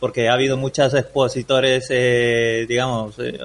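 A man talks at a medium pitch. His pace is moderate. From Peru. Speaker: entrepreneur and WordPress developer. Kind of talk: interview. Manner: halting, frequent repetitions.

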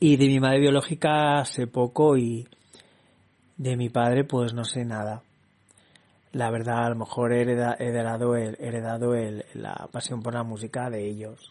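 With monotone, flat intonation, a man speaks fairly slowly. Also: medium pitch for a man. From Barcelona, Spain. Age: young. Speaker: podcaster. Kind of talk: casual monologue.

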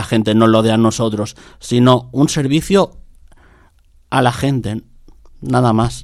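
This man has an unremarkable speaking voice with medium pitch. He talks at a fairly slow pace with ordinary pitch variation. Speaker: taxi dispatcher. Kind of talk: radio interview.

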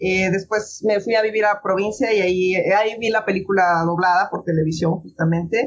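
This clip features a woman's voice. Her delivery is moderately paced. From Mexico City. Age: 30s. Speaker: voice actress. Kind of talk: interview.

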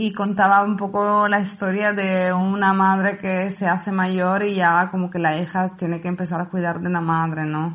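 The speech moves at a moderate pace with monotone, flat intonation and hardly any pauses. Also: woman, medium pitch for a woman. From Italy, Palermo, Sicily. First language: Italian (speaking Spanish). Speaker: photographer and set designer. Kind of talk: casual interview.

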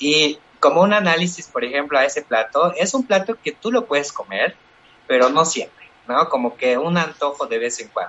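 Pitch swings very widely as the voice proceeds at a moderate pace. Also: man, fairly high pitch for a man. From Bolivia, Chuquisaca valley, rural. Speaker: cooking content creator. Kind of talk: casual panel discussion.

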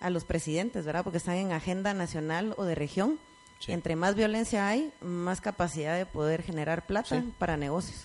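Speaking at a fairly quick pace, a woman uses a normal speaking voice, fairly low in pitch with ordinary pitch variation. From Guatemala. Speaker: course participant. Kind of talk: audience question.

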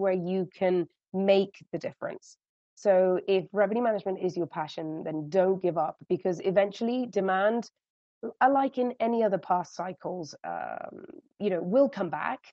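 A woman speaks in a British accent at a medium pitch. Her pace is moderate. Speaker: hotel revenue management director. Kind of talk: interview.

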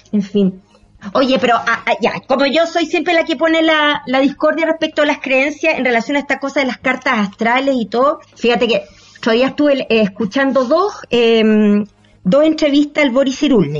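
A high-pitched woman with a Chilean accent, at a moderate pace, ordinary pitch variation and very even loudness. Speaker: podcast host and actress. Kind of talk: casual chat.

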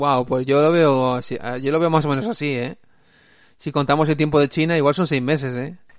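Over a quiet background, a man with an unremarkable speaking voice talks at a fairly quick pace, his fairly high pitch kept in fairly even intonation. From Spain, Alicante province (Aspe). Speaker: podcast host. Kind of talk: casual chat.

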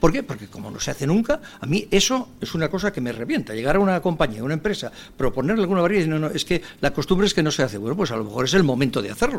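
Speaking at a very fast pace, a man with a fairly high pitch and vocal fry makes very wide pitch swings. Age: 60s. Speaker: senior professionals association president. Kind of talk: radio interview.

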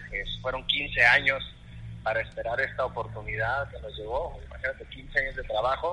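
His speech moves at a moderate pace. The volume rises and falls sharply from moment to moment. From northern Mexico, Ciudad Juárez. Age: 30s. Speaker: goalkeeper coach. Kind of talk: interview.

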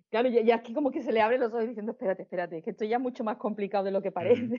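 A woman speaks with an Andalusian accent. Her voice is fairly high and her intonation fairly even. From Seville, Andalusia, Spain. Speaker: amateur astrophotographer. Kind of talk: casual interview conversation.

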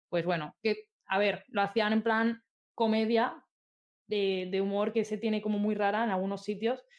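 A woman speaks fairly slowly in an unremarkable speaking voice, fairly high in pitch. Her intonation is fairly even and her loudness very even. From Spain, Albacete province (rural). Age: 20s. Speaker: esports caster and video game artist. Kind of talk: casual chat.

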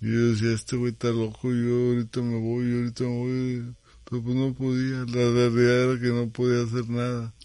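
A man's dark, mellow tone in a flat monotone. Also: medium pitch for a man, moderate pace. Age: 50s. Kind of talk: interview.

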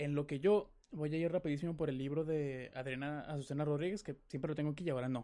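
Fairly high-pitched for a man, his voice has a dark, mellow tone. He speaks at a moderate pace with ordinary pitch variation. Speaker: podcast host. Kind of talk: casual chat. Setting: live stream.

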